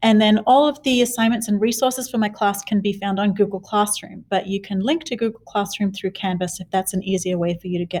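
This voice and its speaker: Moderate pacing from a female speaker with an Australian accent. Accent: Australian, noticeable. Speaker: middle school teacher. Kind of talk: class introduction video. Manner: casual, with fillers.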